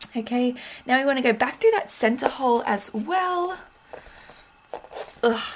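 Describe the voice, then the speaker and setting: Against noticeable background noise, a woman speaks at a high pitch in an Australian accent, leaving long, frequent pauses. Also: lively intonation, moderate pace. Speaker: junk journal artist, craft YouTuber. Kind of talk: crafting tutorial, casual chat. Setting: home craft table. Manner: casual, chatty.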